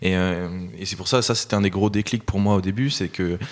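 On a very clean recording with a silent background, a man with a very deep, low voice speaks at a fairly quick pace. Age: 20s. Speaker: author. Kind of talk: interview. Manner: halting.

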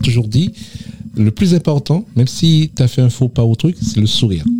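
A man with a plain, everyday voice is speaking. He moves at a fairly quick pace with lively intonation. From Martinique, south (Le Vauclin). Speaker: association president. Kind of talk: radio interview.

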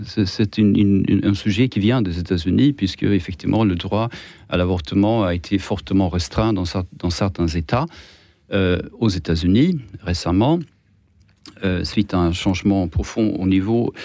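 A man talks at a fairly slow pace with a fairly low pitch and a dark, mellow tone. His pitch varies in an ordinary way, and the recording is very clean with a silent background. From Sweden. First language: Swedish (speaking French). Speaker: journalist. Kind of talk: radio panel debate. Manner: halting, many repetitions.

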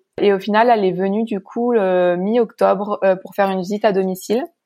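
A woman's medium-pitched voice, dark and mellow, in a flat monotone, on a very clean recording with a silent background. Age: 20s. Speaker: hearing-impaired assistance dog owner. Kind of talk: casual interview. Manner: halting.

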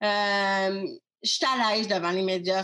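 A woman is speaking. Her tone is bright and sharp. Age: 30s. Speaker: web communication consultant and author. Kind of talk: interview.

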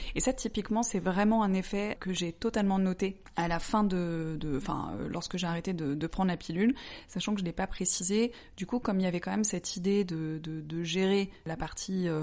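At a moderate pace and with ordinary pitch variation, a woman talks in an ordinary speaking voice. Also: medium pitch for a woman, quiet background. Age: 30s. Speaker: interviewee sharing personal experience. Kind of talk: personal testimony in interview.

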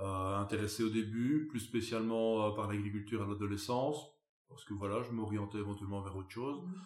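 A man speaks with a fairly low voice, and there is audible echo from the room. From Belgium, Wallonia. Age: 30s. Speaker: farmer. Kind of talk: interview. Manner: animated.

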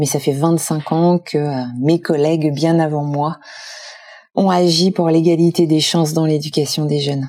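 A woman talks at a fairly slow pace, with long, frequent pauses. Her pitch is very deep and low, and her intonation is monotone and flat. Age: 50s. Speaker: foundation president. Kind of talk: interview.

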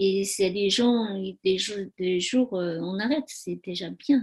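A woman speaks in a Tibetan accent at a very slow pace. Her medium-pitched voice is somewhat breathy, with a dark, mellow tone and ordinary pitch variation. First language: Tibetan (speaking French). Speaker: spa owner and massage therapist. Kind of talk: interview conversation. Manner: halting.

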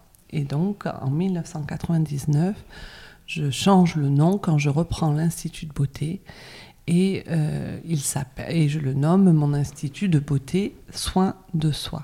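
A woman's very deep, low voice comes out somewhat breathy and dark and mellow in tone, at a very slow pace. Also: fairly even intonation. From France, Bordeaux. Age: 50s. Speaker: cosmetics brand founder. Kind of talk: interview. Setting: spa.

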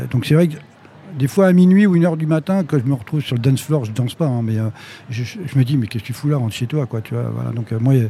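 Over noticeable background noise, a man talks very fast at a medium pitch with lively intonation. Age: 60s. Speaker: concert venue director. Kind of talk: live interview before audience. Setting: stage with audience. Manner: halting, repetitive.

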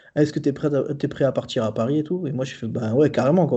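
A man at medium pitch, fairly quick, with fairly even intonation. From southern France. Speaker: graphic designer. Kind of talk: casual chat. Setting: remote recording. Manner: halting.

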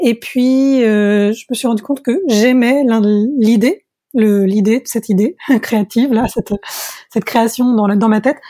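On a dry, close recording with no echo, a woman with a fairly high pitch and a dark, mellow tone speaks at a fairly slow pace with ordinary pitch variation and long, frequent pauses. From France, Tours area. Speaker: singer-songwriter. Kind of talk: interview. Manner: hesitant, many fillers.

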